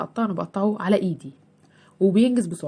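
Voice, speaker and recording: A somewhat breathy woman in an Egyptian accent, her tone dark and mellow, with a medium pitch and a moderate pace. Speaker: homemaker vlogger. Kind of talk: cooking vlog. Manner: soft-spoken; halting.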